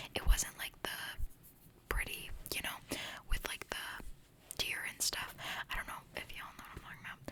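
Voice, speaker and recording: A woman whispers at a fairly quick pace, with long, frequent pauses and big swings in loudness. Noticeable background noise sits behind her. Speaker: ASMR creator. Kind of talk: ASMR whisper ramble. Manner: whispered.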